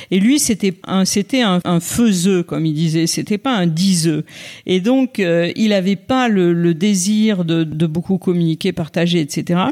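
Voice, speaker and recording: The speech moves at a very slow pace, with very even loudness and a dark, mellow tone. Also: woman, fairly low pitch for a woman, ordinary pitch variation. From France, Auvergne (Clermont-Ferrand). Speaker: former political communications director and author. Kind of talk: interview. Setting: hotel room. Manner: hesitant, many fillers and repetitions.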